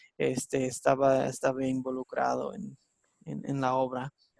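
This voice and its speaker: A man with an English accent comes through with a dry, close sound and no echo. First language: English (speaking Spanish). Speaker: Bible teacher. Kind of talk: online Bible class lesson. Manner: halting, many fillers.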